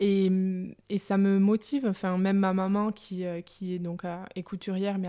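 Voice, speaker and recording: A woman's medium-pitched, dark and mellow voice, monotone and flat in intonation, at a moderate pace on a very clean recording with a silent background. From France, Aveyron. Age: 20s. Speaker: young entrepreneur. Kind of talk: interview. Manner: hesitant, many fillers.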